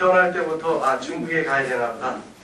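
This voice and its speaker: Noticeable background noise and audible room echo surround the speaker. A man talks at a fairly high pitch with ordinary pitch variation. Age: 50s. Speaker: missionary preacher. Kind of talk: sermon. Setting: church.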